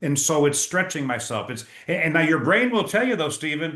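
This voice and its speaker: Speaking fairly quickly with lively intonation, a man has an ordinary speaking voice. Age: 60s. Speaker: leadership speaker and author. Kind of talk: interview.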